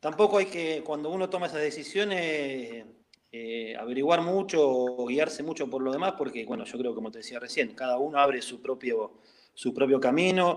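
In an unremarkable speaking voice, a man talks at a fairly high pitch and moderate pace, with lively intonation and big swings in loudness. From Argentina, La Plata. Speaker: former professional footballer. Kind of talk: interview. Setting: call.

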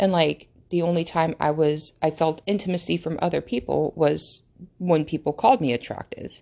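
Speaking at a moderate pace with an American accent, a woman uses a very deep, low pitch, vocal fry and ordinary pitch variation. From United States. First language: not English. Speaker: podcast host. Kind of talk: casual monologue. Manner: halting.

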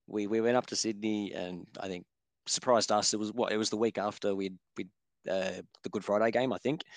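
An Australian-accented man speaks at a fairly low pitch and a fairly quick pace with fairly even intonation. The sound is dry and close with no echo, over a quiet background. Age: 30s. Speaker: football fan podcast guest. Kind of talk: casual chat.

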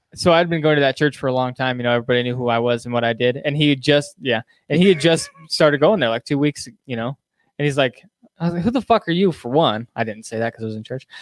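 A man talks at a very fast pace, with medium pitch and ordinary pitch variation. The sound is dry and close, with no echo. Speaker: podcast host. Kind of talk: casual chat. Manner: casual, joking.

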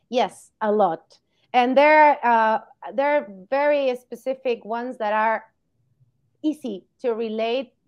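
Fairly slow speech from a woman with a Spanish accent, a fairly high pitch and ordinary pitch variation. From Argentina. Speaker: veterinarian. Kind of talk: interview.

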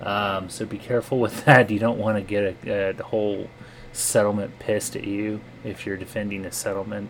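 Over noticeable background noise, a man with an American accent speaks fairly quickly at a fairly low pitch, his intonation monotone and flat. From US. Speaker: podcast co-host. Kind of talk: informational lore segment.

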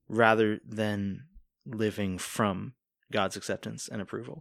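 This is an unremarkable speaking voice from a man with an American accent and a fairly low pitch. His intonation is fairly even, and the recording is very clean with a silent background. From Virginia Beach, Virginia, US. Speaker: worship leader and singer-songwriter. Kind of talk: casual interview. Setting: studio.

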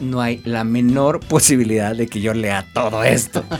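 A man is speaking. Music plays in the background. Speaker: lawyer and comic collector. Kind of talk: casual chat.

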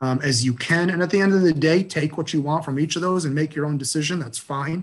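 A man speaks with fairly even intonation. His voice is somewhat breathy. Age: 40s. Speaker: anesthesiologist and residency program director. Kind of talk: interview. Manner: halting, with many fillers.

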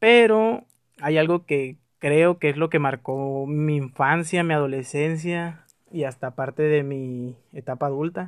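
At a fairly slow pace, a man with an ordinary speaking voice talks at a fairly high pitch with ordinary pitch variation. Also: very clean recording, silent background. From Mexico, Tijuana. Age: 20s. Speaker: podcaster. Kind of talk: personal monologue. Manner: casual, conversational.

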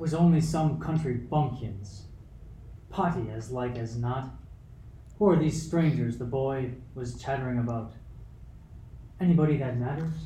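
A man puts on a gruff character voice at medium pitch with ordinary pitch variation, moving at a moderate pace with long, frequent pauses and a slight echo. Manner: gruff, curt, dismissive.

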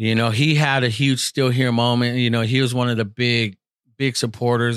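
On a very clean recording with a silent background, a man with an unremarkable speaking voice speaks at a moderate pace and medium pitch. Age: 40s. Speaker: podcaster and former youth pastor. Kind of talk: testimony.

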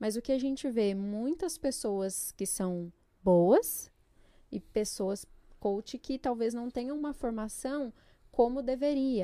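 In a very clean recording with a silent background, a dark, mellow voice moves at a very slow pace with lively intonation. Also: woman, high pitch for a woman. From São Paulo state, Brazil (Jundiaí); born in Pernambuco. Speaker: psychologist. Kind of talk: podcast interview.

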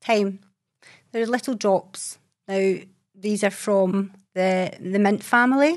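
A woman with a Scottish accent at a medium pitch, very slow pace and ordinary pitch variation, with long, frequent pauses, very even loudness and a quiet background. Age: 40s. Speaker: holistic therapist and herbalist. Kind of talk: casual monologue. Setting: video recording.

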